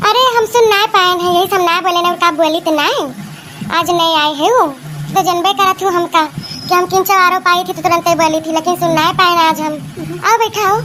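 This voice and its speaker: A cartoonish character voice rings out at an extremely high pitch, raised and projected. It moves at a very fast pace over clear background noise. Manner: grumbling, sarcastic, village comic.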